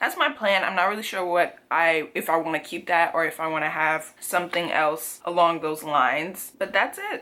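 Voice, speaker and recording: Against noticeable background noise, a woman with a fairly low voice speaks in an animated tone at a moderate pace, with hardly any pauses. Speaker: lifestyle vlogger. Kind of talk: casual vlog monologue.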